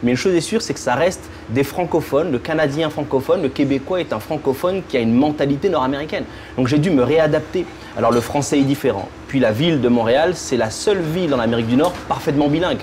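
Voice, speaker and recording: With music in the background, a man's fairly high voice races at a very fast pace, its loudness very even and its pitch variation ordinary. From French Caribbean. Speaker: entrepreneur, telephony company founder. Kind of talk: interview. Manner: hesitant, with repetitions.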